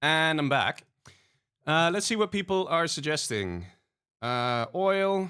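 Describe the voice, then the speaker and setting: Here a man talks at a very slow pace with long, frequent pauses, in a fairly high pitch and a bright, sharp tone. His intonation is lively, and the recording is very clean with a silent background. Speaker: video game tutorial streamer. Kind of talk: livestream tutorial. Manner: casual, many filler words.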